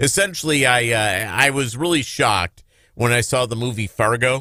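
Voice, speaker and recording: A man with an American accent speaks at a moderate pace in a bright, sharp tone with lively intonation. The recording is very clean with a silent background, dry and close with no echo. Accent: slight Minnesota accent, mostly dropped. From Minnesota (Lake Minnetonka). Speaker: talk radio host. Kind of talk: casual chat.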